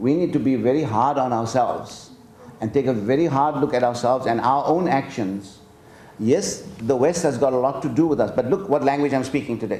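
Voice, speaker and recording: Speaking in a Gujarati accent at a fairly quick pace, a man holds a medium pitch with ordinary pitch variation and very even loudness amid audible room echo. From South Africa. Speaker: professor. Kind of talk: lecture Q&A. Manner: halting.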